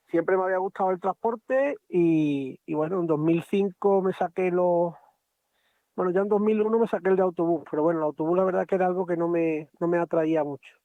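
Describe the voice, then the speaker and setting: This man has a high-pitched voice and a fairly quick pace. His intonation stays fairly even. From Spain, Extremadura (Badajoz). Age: 40s. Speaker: truck driver. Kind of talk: interview.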